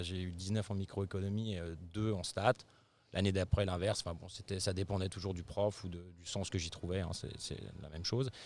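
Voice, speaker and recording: On a very clean recording with a silent background, a man speaks in a plain, everyday voice at a fairly low pitch, with fairly even intonation and a moderate pace. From France, Savoy, raised in Paris region. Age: 40s. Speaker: startup CEO. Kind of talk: interview. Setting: company office in Paris.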